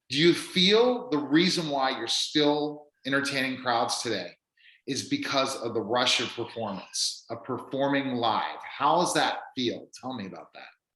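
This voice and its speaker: The voice has a bright, sharp tone, big swings in loudness, ordinary pitch variation and a fairly slow pace, with audible room echo. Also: man, fairly high pitch for a man. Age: 40s. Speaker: radio show host. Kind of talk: interview.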